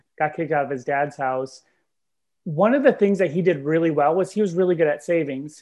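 A high-pitched male voice with lively intonation at a fairly quick pace, against a quiet background. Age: 30s. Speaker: nonprofit director. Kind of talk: casual interview.

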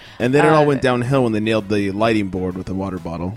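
A man's tired tone with ordinary pitch variation, against noticeable background noise. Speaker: podcast co-host. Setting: studio recording. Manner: tired, low energy.

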